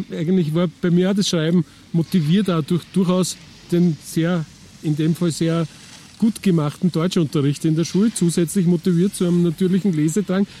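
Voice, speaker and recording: A man talks at a moderate pace and high pitch. His loudness is very even and his intonation fairly even. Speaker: podcast host and journalist. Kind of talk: casual interview chat; scripted narration.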